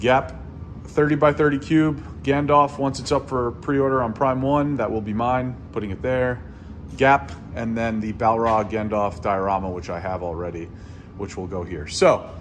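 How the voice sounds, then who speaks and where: At a moderate pace, a man speaks over light background noise. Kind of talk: casual vlog chat. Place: empty room. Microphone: phone near.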